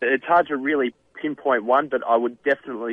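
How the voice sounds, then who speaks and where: A man at a moderate pace, with fairly even intonation. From Australia. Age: 30s. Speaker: professional golfer and author. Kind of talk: radio interview. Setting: phone call.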